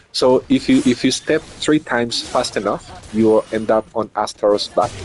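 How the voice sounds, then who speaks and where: A man with a non-native accent speaks over noticeable background noise. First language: not English. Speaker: streamer and tournament commentator. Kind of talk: live game commentary. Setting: live stream.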